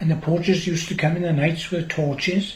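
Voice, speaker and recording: Over audible room echo, a man talks at a moderate pace with a fairly high pitch and fairly even intonation. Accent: South Wales. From Wales, Gower. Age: 80s+. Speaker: farmer. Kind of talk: oral history interview.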